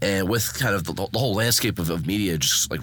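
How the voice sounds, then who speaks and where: An American accent marks this man's very fast talking, and his pitch varies in an ordinary way. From Boston. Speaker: podcast host. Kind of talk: casual interview.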